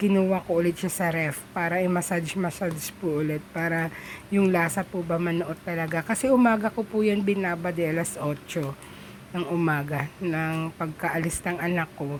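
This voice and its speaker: A woman talks at a moderate pace with fairly even intonation against noticeable background noise. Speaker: home cooking vlogger. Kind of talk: cooking tutorial voiceover. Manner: casual, halting.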